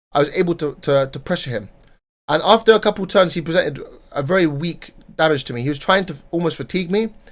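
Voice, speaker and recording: A man with a British accent talks very fast in a high voice, his pitch varying in an ordinary way. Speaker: card game player and content creator. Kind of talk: casual tournament recap monologue. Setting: home recording during heat wave. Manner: unscripted, repetitive and self-correcting.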